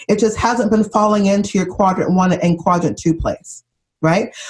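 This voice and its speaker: A woman's somewhat breathy, medium-pitched voice with ordinary pitch variation. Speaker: business trainer and author. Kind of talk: podcast interview, conversational.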